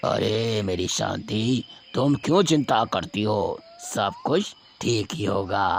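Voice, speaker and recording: This is a cartoonish character voice. It speaks at a very slow pace. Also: man, medium pitch for a man. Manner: warm, confident.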